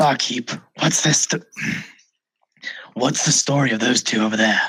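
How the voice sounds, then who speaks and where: A man's raspy, put-on character voice. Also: medium pitch for a man, moderate pace. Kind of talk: put-on dark vigilante growl. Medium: actual play. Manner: terse, brooding.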